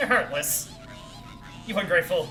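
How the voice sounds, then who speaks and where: A put-on character voice that sounds female, pitched in a medium range for a woman at a moderate pace. Clear music plays in the background. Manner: scolding.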